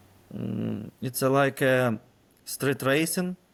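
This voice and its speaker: A man with a Ukrainian accent, at a very slow pace with fairly even intonation. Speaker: military intelligence officer. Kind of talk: interview. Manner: halting, many fillers.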